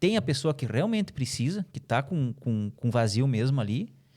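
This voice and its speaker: A man speaks at a moderate pace with very wide pitch swings in a very clean recording with a silent background. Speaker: journalist and podcast host. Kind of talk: podcast discussion.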